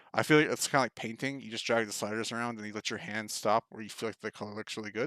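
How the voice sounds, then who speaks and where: In a very clean, dry, close recording with no echo and a silent background, a man speaks at a medium pitch with fairly even intonation. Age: 30s. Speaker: YouTuber and video editor. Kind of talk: tutorial. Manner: fast; casual with many fillers.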